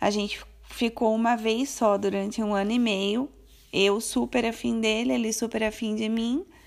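A woman with a plain, everyday voice, fairly even intonation and a moderate pace, on a very clean recording with a silent background. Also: fairly high pitch for a woman. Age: 30s. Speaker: podcaster. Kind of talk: personal storytelling monologue. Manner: casual, chatty.

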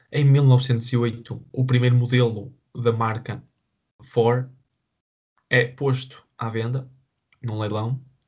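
Very slowly and with long, frequent pauses, a man speaks at medium pitch in a monotone, flat way that is somewhat breathy. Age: 20s. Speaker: podcast co-host. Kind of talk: casual chat.

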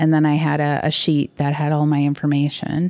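A woman with an American accent speaks at a moderate pace in a very deep, low pitch, her dark, mellow tone flat and monotone, with a dry, close sound with no echo. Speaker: painter. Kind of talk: casual chat.

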